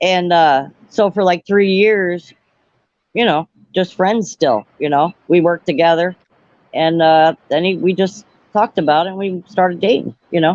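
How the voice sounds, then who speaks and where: A woman with a normal speaking voice talks at a moderate pace and a fairly low pitch, with ordinary pitch variation. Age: 50s. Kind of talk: casual chat.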